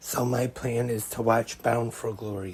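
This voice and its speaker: Monotone, flat delivery at a very slow pace, with noticeable background noise. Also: man. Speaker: wrestling podcast host. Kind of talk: podcast monologue.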